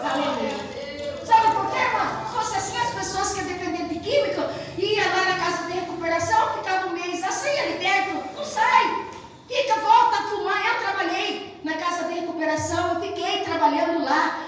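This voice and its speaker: A woman talks in an extremely high pitch and an animated tone, at a moderate pace with ordinary pitch variation. There is noticeable background noise along with audible room echo. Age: 60s. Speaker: pastor. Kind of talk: sermon. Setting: church.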